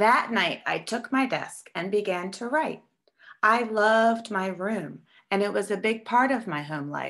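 Quiet background behind plain reading aloud, its pitch varying in an ordinary way

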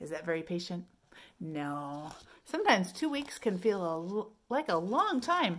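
With big pitch swings and a fairly bright tone, a woman speaks fairly slowly at a fairly low pitch.

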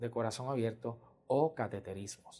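Over a quiet background, a man speaks at a moderate pace in a dark, mellow tone with ordinary pitch variation. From Puerto Rico, San Germán; Puerto Rico. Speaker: pediatric cardiologist. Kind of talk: interview testimony. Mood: calm, warm, explanatory. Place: office. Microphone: lapel.

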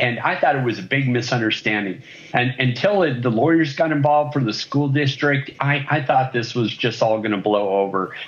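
At a fairly quick pace, a man talks with very even loudness and ordinary pitch variation. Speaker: remote interview guest. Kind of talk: interview answer. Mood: earnest, a bit indignant. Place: home room. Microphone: video call.

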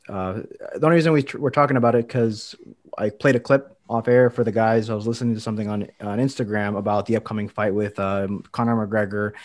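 Against a quiet background, a man talks very fast in a fairly low pitch with fairly even intonation. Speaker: fitness podcast host and coach; podcast co-host. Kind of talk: casual chat; casual podcast chat. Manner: lisp-like speech, some words sound Spanish-inflected. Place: home room. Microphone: studio mic.

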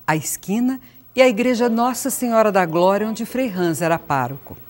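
This woman has a normal speaking voice, fairly high in pitch, with lively intonation at a moderate pace. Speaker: video narrator. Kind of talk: scripted narration.

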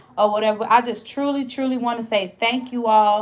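A woman speaks at a fairly quick pace in a flat, monotone delivery. Noticeable background noise runs underneath. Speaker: small business owner vlogger. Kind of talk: casual vlog chat. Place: home room. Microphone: phone near.

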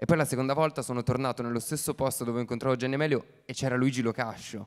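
A man at a medium pitch uses a plain, everyday voice with fairly even intonation over a quiet background. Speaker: actor. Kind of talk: festival Q&A talk. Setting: stage with audience. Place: stage. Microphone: handheld.

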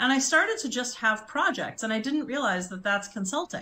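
High-pitched woman's voice in an American accent, fairly quick, with very wide pitch swings. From US Midwest, Chicago. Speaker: branding and communications consultant; interview guest. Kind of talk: interview conversation. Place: home room.

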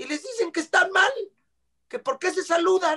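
A man's raised, projected voice in a Mexican accent, bright and sharp in tone and animated, against a quiet background. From Mexico. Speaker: actor and singer. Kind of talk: casual chat. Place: home room. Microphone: video call.

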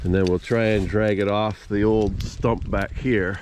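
A man talks at a very slow pace, the sound dry with no echo despite noticeable background noise. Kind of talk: tutorial. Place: forest. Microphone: phone near.

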